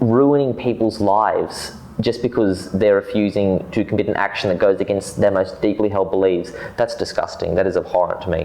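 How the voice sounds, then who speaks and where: Over noticeable background noise, a man with an Australian accent speaks fairly quickly in a fairly low pitch, his intonation fairly even and his loudness very even. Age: young. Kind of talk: interview answer.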